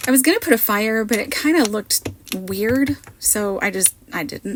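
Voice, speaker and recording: The speaker uses lively intonation at a moderate pace, with noticeable noise in the background. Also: woman. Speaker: card maker, crafting content creator. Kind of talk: voiceover tutorial. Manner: casual, chatty.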